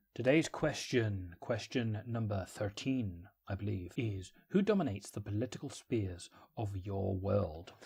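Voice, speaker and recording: A man's dark, mellow, somewhat breathy voice at a fairly slow pace with ordinary pitch variation, on a very clean recording with a silent background. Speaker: worldbuilding video creator. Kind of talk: casual vlog monologue. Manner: quiet low voice; hesitant.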